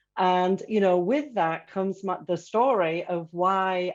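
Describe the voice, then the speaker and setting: Against a quiet background, a woman speaks with an English accent at a medium pitch. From England. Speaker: corporate learning executive. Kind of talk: panel discussion.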